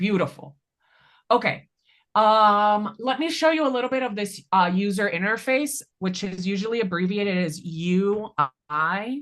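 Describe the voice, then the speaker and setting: A woman's unremarkable speaking voice at medium pitch, lively intonation and a moderate pace over a quiet background. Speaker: data analytics trainer. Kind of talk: hands-on tutorial.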